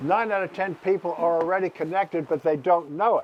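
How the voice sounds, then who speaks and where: A man with an American accent, high-pitched, over noticeable background noise. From New York. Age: 80s+. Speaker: nonprofit founder. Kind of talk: interview talk to live audience. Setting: stage with audience. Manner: animated.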